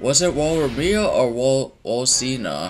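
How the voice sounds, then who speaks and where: A man at a fairly slow pace with very wide pitch swings, amid noticeable background noise. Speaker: reaction video creator. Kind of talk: casual reaction commentary. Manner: stuttering, halting; animated.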